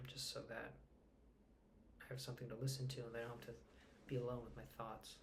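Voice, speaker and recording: Soft-spoken with vocal fry, a man talks at a medium pitch in a monotone, flat intonation. Audible room echo surrounds his voice. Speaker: vlogger. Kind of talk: personal vlog. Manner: halting.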